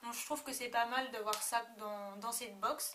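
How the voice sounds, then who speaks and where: A woman at a fairly high pitch and moderate pace, with noticeable background noise. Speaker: beauty vlogger. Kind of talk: product review vlog. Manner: hesitant, many fillers.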